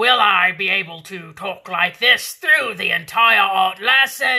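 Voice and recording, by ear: A put-on character voice, female-sounding and raspy, at a medium pitch and a fairly slow pace.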